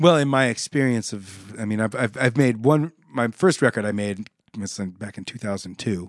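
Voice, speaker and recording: With an American accent, a man speaks in an ordinary speaking voice at a fairly quick pace with ordinary pitch variation, the sound dry and close with no echo over a quiet background. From Nebraska, Omaha. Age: 50s. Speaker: session guitarist. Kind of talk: casual interview chat. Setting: studio.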